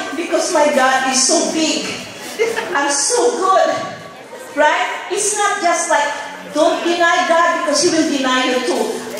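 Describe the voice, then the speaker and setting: Very slowly, a woman speaks at an extremely high pitch with ordinary pitch variation. Strong room echo and light background noise surround her voice. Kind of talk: acceptance speech. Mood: emotional, fervent, religious. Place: stage.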